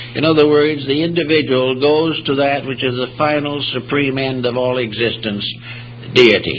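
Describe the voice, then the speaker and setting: Noticeable background noise sits behind a man speaking at a moderate pace. His intonation is fairly even. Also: medium pitch for a man. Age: 80s+. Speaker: philosophy lecturer. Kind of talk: public lecture.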